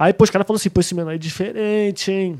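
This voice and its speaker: Recorded with a dry, close sound and no echo, a man's dark, mellow voice shows ordinary pitch variation. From Brazil, Rio de Janeiro state (Rio and Barra do Piraí). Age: 30s. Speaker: trap musician. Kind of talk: casual chat.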